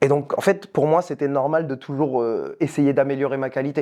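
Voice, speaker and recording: A dark, mellow tone at a moderate pace. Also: man. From France. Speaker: youtuber. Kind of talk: casual chat.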